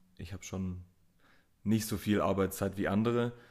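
On a very clean recording with a silent background, a man speaks in a very deep, low voice with a dark, mellow tone. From Swabia, Germany (Mössingen). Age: 20s. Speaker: tattoo artist. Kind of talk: casual chat. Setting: tattoo studio.

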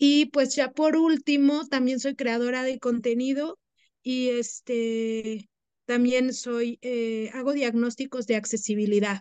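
In a dry, close recording with no echo, a woman speaks at a very slow pace with a high pitch and fairly even intonation. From Mexico City, family from the Huasteca of Hidalgo. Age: 30s. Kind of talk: interview.

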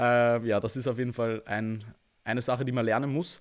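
At a moderate pace, a man speaks in an unremarkable speaking voice of medium pitch with fairly even intonation. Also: very clean recording, silent background. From Austria. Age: 20s. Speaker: bodybuilder and online coach. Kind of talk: podcast interview.

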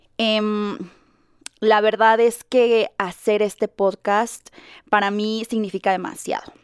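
At a very slow pace, the speech keeps fairly even intonation in a dry, close sound with no echo. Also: woman. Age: 30s. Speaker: content creator and podcast host. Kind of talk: casual monologue. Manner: rambling, with many fillers.

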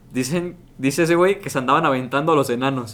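A man's fairly high-pitched, ordinary speaking voice at a fairly quick pace. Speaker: podcast co-host. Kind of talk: casual chat.

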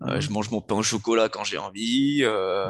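A man talks at a moderate pace in a plain, everyday voice, pitched fairly low with ordinary pitch variation. The background is quiet. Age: 30s. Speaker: fitness coach and former soldier. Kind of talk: podcast interview.

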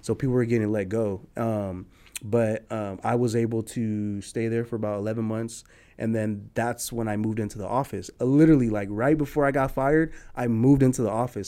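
In a very clean recording with a silent background, a man talks fairly quickly at medium pitch with a dark, mellow tone and ordinary pitch variation. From San Jose, California (South side), Nicaraguan-American. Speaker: entrepreneur. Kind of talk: interview.

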